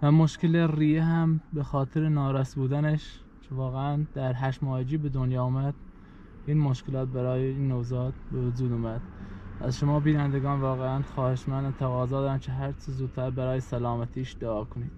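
Against light background noise, a man talks at a moderate pace with monotone, flat intonation in a dry sound with no echo. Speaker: family vlogger. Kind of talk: casual vlog chat. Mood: worried, earnest. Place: car. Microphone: phone near.

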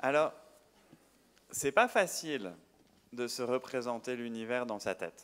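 The speaker uses ordinary pitch variation and leaves long, frequent pauses. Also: man, medium pitch for a man, fairly slow pace. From France, Paris. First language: French (speaking Italian). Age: 40s. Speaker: astrophysicist and science communicator. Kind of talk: public lecture. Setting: stage with audience. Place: hall. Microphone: handheld.

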